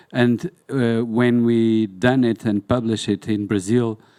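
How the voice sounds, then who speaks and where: In a very clean, silent recording with a dry, close sound and no echo, a man of medium pitch and a dark, mellow tone speaks very slowly with fairly even intonation. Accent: Portuguese. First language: Portuguese. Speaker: museum documentation specialist. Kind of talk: panel discussion. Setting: conference hall with audience. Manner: halting.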